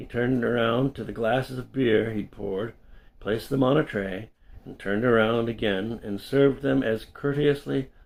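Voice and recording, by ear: Someone reads aloud in a natural voice. Pitch varies in an ordinary way.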